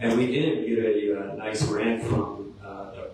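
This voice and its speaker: Background noise is noticeable. There is audible room echo as well. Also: man. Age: 60s. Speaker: city council applicant. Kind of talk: interview. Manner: halting.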